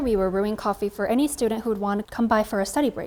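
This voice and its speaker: In an unremarkable speaking voice with an American accent, a woman at medium pitch talks with ordinary pitch variation. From California, US. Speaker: coffee creator and barista. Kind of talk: interview monologue.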